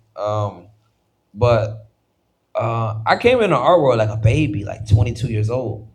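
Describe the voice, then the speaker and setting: A man speaks at a fairly slow pace with a medium pitch and ordinary pitch variation. His voice is somewhat breathy, with long, frequent pauses. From Washington DC, of Haitian family. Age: 20s. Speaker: visual artist. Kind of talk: casual interview chat. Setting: live podcast recording in a studio. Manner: animated.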